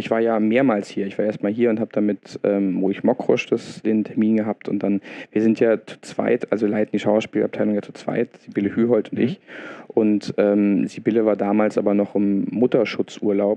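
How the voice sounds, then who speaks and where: Speaking at a moderate pace, the man has a fairly low pitch and a monotone, flat intonation. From Berlin, Germany. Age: 30s. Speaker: theatre dramaturg. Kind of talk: interview. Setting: in the theatre. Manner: halting, many fillers.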